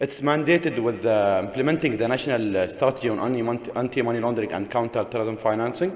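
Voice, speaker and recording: A man talks at a very fast pace with hardly any pauses, at a medium pitch and with ordinary pitch variation. Noticeable background noise sits behind him. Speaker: government official. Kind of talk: conference presentation. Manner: halting.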